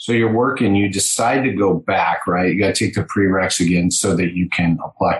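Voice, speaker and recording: The clip features a normal speaking voice with ordinary pitch variation. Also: man. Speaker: podcast host for healthcare practice owners. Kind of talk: interview.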